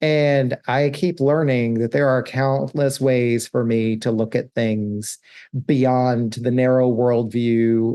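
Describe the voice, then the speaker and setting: Over a quiet background, a man speaks at a very slow pace in a medium pitch, his dark, mellow tone carrying fairly even intonation. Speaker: podcast host and coach. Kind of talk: solo podcast monologue.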